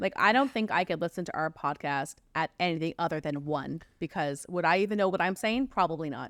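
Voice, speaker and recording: A woman with an unremarkable speaking voice talks at a fairly low pitch and fairly quick pace, with lively intonation and hardly any pauses, in a dry, close sound with no echo on a very clean recording with a silent background. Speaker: true crime podcast co-host. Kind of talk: casual chat.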